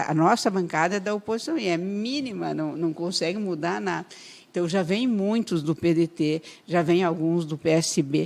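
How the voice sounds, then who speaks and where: The recording is very clean and the background silent. A woman speaks with ordinary pitch variation. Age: 60s. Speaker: politician. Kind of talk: radio interview.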